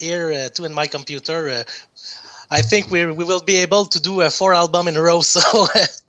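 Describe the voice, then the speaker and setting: With a French accent, the speaker keeps a fairly quick pace and fairly even intonation. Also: man. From Quebec, Canada. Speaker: metal band bassist. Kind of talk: casual interview. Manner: halting.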